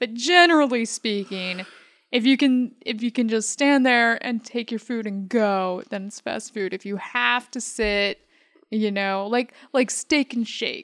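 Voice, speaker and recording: With an American accent and an unremarkable speaking voice, a woman talks at a fairly slow pace with ordinary pitch variation, in a very clean recording with a silent background and a dry, close sound with no echo. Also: fairly high pitch for a woman. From Michigan. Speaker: host's wife, guest. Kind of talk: casual chat. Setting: studio.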